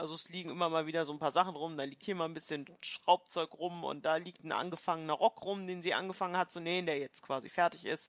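The speech is very fast, with hardly any pauses and fairly even intonation. The sound is dry and close, with no echo. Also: woman, fairly low pitch for a woman. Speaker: player in tabletop role-playing game. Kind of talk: casual banter during a tabletop role-playing session.

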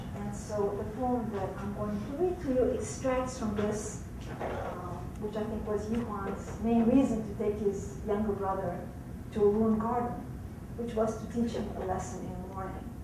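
A woman at a moderate pace, with noticeable background noise behind her. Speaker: poet and professor. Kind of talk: talk introducing a poem.

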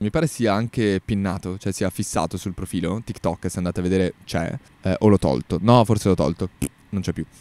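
This man's voice has a dark, mellow tone and a fairly low pitch with ordinary pitch variation. He talks at a fairly quick pace, and the sound is dry with no echo. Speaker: podcaster. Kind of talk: casual monologue podcast. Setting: outdoors in a park. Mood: relaxed, opinionated. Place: garden. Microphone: handheld.

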